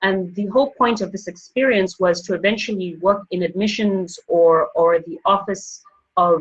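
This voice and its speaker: Somewhat breathy, a woman with an African accent talks at medium pitch and a moderate pace with ordinary pitch variation. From Botswana (born Zambia, schooled Zimbabwe). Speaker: banker and finance professional. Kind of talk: interview, personal story. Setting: podcast interview.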